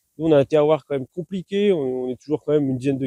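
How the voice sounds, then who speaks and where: Very fast speech from a man, fairly high in pitch with a dark, mellow tone, ordinary pitch variation and a dry, close sound with no echo. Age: 30s. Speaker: farmer. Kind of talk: interview. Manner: hesitant, many fillers and repetitions.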